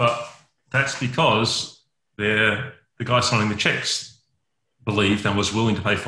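Bright, sharp, and monotone, the voice carries an Australian accent at a moderate pace. Long pauses come often, and the intonation stays flat. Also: man, medium pitch for a man. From Western Australia (Perth). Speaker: network engineer. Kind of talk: interview.

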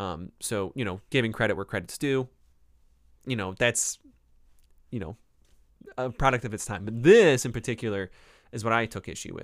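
With a Northeast Ohio accent, a man speaks at a medium pitch and a moderate pace, using ordinary pitch variation. Long, frequent pauses mark the very clean recording, which has a silent background. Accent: Northeast Ohio, Rust Belt. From Cleveland, Ohio. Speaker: professor and podcast host. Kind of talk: casual book review talk, live stream. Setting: live YouTube recording.

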